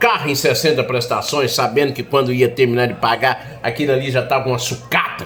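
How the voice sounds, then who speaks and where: With music in the background, a man speaks at a medium pitch in a monotone, flat intonation. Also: fairly quick pace, hardly any pauses. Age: 60s. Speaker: political commentator. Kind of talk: political monologue.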